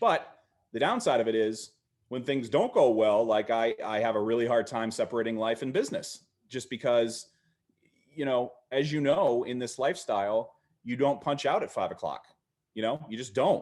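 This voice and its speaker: A man's medium-pitched voice at a moderate pace, with ordinary pitch variation over a quiet background. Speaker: podcast co-host and agency owner. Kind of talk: casual chat. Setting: live stream. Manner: loud; halting, many restarts.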